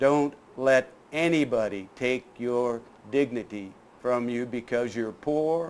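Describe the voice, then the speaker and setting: Very slow speech comes from a man at a medium pitch. His pitch variation is ordinary. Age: 70s. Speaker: humanitarian, subject of a documentary. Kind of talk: TV talk show interview. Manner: emphatic.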